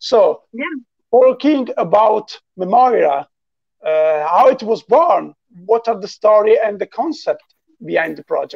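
The speaker has an Italian accent and a fairly slow pace. The background is quiet. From Italy. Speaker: musician hosting a live chat. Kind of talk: casual live-stream interview. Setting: video call. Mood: friendly, smiling. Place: home room. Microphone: video call.

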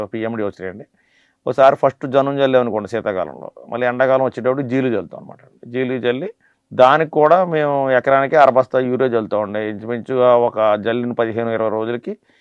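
A man with an unremarkable speaking voice, medium pitch, ordinary pitch variation and big swings in loudness. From Andhra Pradesh, Konaseema district. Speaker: coconut farmer. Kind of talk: interview explanation. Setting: studio.

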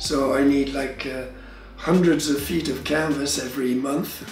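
A man talks at a moderate pace with fairly even intonation, with audible room echo and faint music in the background. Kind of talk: interview answer. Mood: relaxed, amused. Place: workshop.

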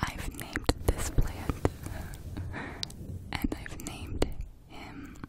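The pace is very slow. Long pauses come often. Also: woman. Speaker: ASMR creator. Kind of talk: ASMR whisper video, casual talk to camera. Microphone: studio mic.

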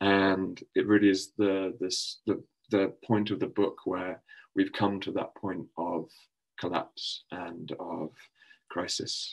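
Very slowly and in a monotone, flat intonation, a man with a fairly low pitch talks against a quiet background. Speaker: poet. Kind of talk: introducing a poem at an online conference. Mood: calm, reflective. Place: home room. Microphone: webcam.

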